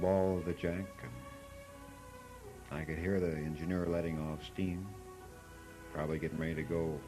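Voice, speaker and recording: Music plays behind a man whose very deep, low voice moves at a moderate pace. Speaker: father telling a bedtime story. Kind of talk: homemade storytelling recording.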